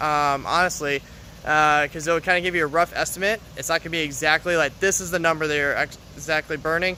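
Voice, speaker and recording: A man speaks very fast in a fairly high voice with a bright, sharp tone. His intonation stays flat and monotone. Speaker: fitness coach. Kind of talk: live stream Q&A. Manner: halting, many fillers.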